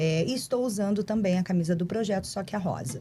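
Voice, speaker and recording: With a rural Brazilian accent, a woman speaks in a dark, mellow tone that is somewhat breathy. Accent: noticeable countryside Brazilian. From Brazilian countryside. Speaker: corporate responsibility staff, podcast guest. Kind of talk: podcast interview.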